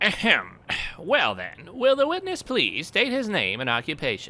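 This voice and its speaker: Middle-pitched, moderately paced speech in a put-on character voice. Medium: dub.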